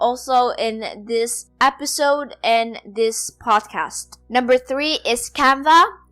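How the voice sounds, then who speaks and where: The recording is very clean, with a silent background. A woman talks very slowly in a high voice with a bright, sharp tone. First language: not English (English is her fourth language). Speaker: podcast host and blogger. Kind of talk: solo podcast tutorial.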